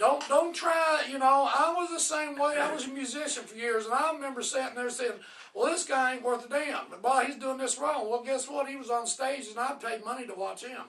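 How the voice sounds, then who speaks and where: Speaking at a fairly quick pace with hardly any pauses, a man uses an extremely high pitch and a bright, sharp tone, his loudness swinging widely. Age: 60s. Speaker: professional wrestler. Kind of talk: casual chat. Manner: animated.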